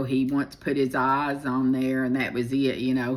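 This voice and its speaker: A woman's very deep, low voice, fairly slow and flat in monotone. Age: 60s. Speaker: storyteller. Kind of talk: personal life story monologue. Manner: casual, halting with many fillers.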